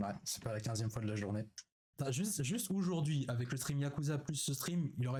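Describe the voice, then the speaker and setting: Speech comes at a moderate pace. There is a somewhat breathy quality to it. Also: man. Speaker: streamer. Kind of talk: live stream reaction chat. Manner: hesitant, many fillers.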